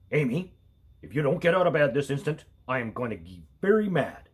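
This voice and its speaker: The delivery moves at a fairly quick pace. It is a put-on character voice. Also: man, fairly high pitch for a man. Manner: stern, commanding.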